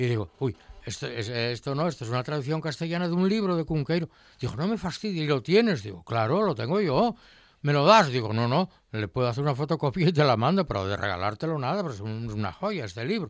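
Very fast talking from a man with fairly high pitch and very wide pitch swings. The recording is very clean, with a silent background. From Asturias, Spain (Colunga). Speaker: retired science teacher and food historian. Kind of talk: casual chat. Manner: animated.

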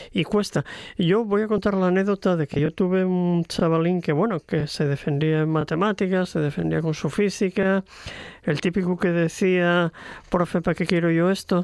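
Speaking at a moderate pace, a man with a high pitch keeps his loudness very even and his intonation fairly even. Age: 60s. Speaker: retired teacher and author. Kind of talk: radio interview. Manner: hesitant, many fillers.

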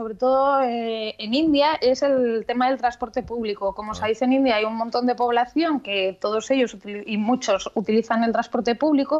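The woman's voice is high and moves in pitch in an ordinary way. She keeps a moderate pace. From Asturias, Spain. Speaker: marketing professional, tech segment contributor. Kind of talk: radio chat segment.

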